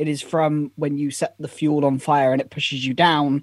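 The sound is dry and close, with no echo, and the speaker has a British accent. The recording is very clean, with a silent background. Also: man. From Britain. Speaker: productivity content creator. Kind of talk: casual interview.

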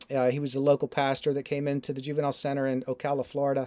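The voice has a dark, mellow tone. It sounds dry and close with no echo, in a very clean recording with a silent background. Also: man. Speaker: ministry founder. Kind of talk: interview conversation. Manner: conversational, earnest.

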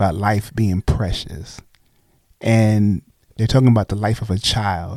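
A man speaks with an American accent at a fairly low pitch. His pace is fairly slow. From New York City (Brooklyn). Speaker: pastor. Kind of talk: casual chat. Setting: studio. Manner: halting, with frequent repetitions.

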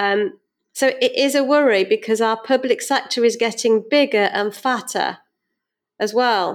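A woman speaks with a British accent in a fairly high voice. Her pace is moderate, on a very clean recording with a silent background. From UK. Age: 50s. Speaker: financial adviser and business owner. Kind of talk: interview.

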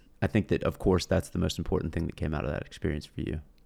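A man's dark, mellow tone carries vocal fry and ordinary pitch variation. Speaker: podcast host, military veteran. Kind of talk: casual chat.

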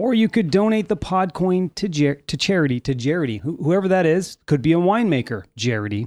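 With hardly any pauses, a man speaks in a high pitch with very wide pitch swings, the sound dry and close with no echo. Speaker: studio producer reading ad. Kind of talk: sponsor ad read. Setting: studio.

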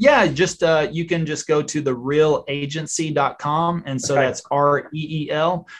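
Speaking fairly slowly with hardly any pauses, a man with a fairly high voice keeps a fairly even intonation. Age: 40s. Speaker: real estate agent and YouTuber. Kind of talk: interview.

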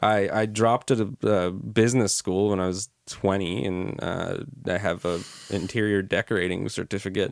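A man's fairly low-pitched voice at a moderate pace, with fairly even intonation, on a very clean recording with a silent background. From Canada. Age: 20s. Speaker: filmmaker. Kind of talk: casual chat. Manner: halting.

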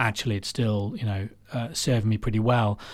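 A man speaks at a moderate pace in a fairly low voice. His intonation stays fairly even, and the recording is very clean with a silent background. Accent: English. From England, Warwickshire. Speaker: cancer survivor. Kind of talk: interview. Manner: halting.

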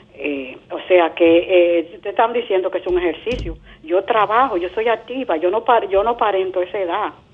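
Noticeable background noise behind a woman speaking with ordinary pitch variation. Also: medium pitch for a woman, moderate pace. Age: 70s. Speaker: caller. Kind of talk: call-in question. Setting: phone call.

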